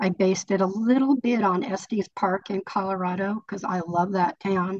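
Here a woman with a General American accent uses an ordinary speaking voice at medium pitch and a moderate pace. Her intonation is fairly even, and the sound is dry and close with no echo. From California. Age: 60s. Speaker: author. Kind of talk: book club discussion. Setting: video call.

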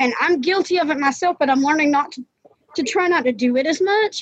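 A woman is talking. The rise and fall of her pitch is ordinary. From Georgia, US South. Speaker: writer, blind. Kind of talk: casual group discussion.

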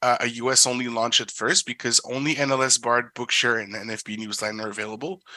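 A bright, sharp tone comes through at a moderate pace against a quiet background. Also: man. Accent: French. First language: French. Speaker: assistive tech company product specialist. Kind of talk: product presentation and Q&A.

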